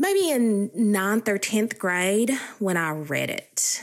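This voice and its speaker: On a very clean recording with a silent background, a woman with an Appalachian accent speaks very slowly at a medium pitch, her intonation lively. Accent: Appalachian Southern US. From US South, eastern Kentucky Appalachia. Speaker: poetry researcher. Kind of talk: interview.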